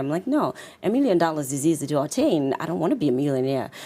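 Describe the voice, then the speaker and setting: A woman with a Zimbabwean accent talks very fast. Her voice is very deep and low-pitched, with a dark, mellow tone. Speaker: confidence coach and author. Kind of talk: interview.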